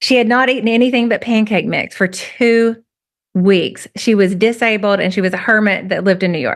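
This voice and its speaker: A woman with a strong rural Southern US accent, fairly high in pitch, animated in tone, at a fairly quick pace with ordinary pitch variation. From US South, rural. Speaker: writer. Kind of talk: conversational interview, storytelling.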